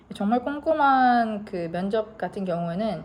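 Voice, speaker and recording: Lively intonation runs through a dark, mellow tone. The voice is somewhat breathy. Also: woman. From South Korea. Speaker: car mechanic and vlogger. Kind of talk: informal talk-to-camera advice vlog.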